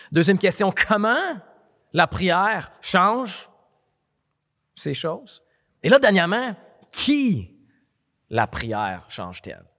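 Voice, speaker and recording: A man speaks in a high, bright, sharp voice, his pitch swinging very widely and his loudness shifting a lot. The pace is very slow, with long, frequent pauses against a quiet background. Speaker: preacher. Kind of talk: sermon. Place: hall. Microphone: handheld.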